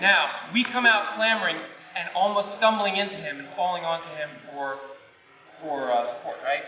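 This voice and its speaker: A man with a high-pitched voice talks at a moderate pace, raising and projecting it with lively intonation and big swings in loudness. His pauses are long and frequent, and the recording has room echo and noticeable background noise. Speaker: theatre director. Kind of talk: rehearsal directions. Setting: theatre rehearsal.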